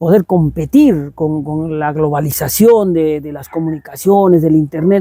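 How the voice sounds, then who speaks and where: A man's fairly high voice with a dark, mellow tone, a fairly slow pace, hardly any pauses, big swings in loudness and ordinary pitch variation. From Peru, Arequipa (Sachaca). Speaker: composer and cultural promoter. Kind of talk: interview conversation. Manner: halting, with repetitions.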